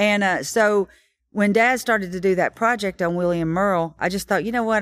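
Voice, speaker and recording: Speech comes at a fairly quick pace in a Tennessee accent, with ordinary pitch variation. The recording is very clean, with a silent background. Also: woman. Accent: Southern US (Tennessee). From Tennessee (Kingston Springs, near Nashville). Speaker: songwriter. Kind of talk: interview, storytelling. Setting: stage of a Nashville listening room.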